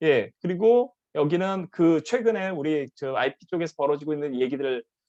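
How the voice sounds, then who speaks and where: A man's fairly high voice with lively intonation. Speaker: professor. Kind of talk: conference presentation. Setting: online live conference. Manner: fast.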